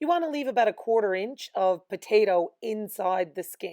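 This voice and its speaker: The recording is very clean with a silent background and a dry, close sound with no echo, as a woman speaks in a fairly high pitch with a dark, mellow tone and lively intonation. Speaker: home economics teacher. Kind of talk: cooking lesson for students. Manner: clear, instructional.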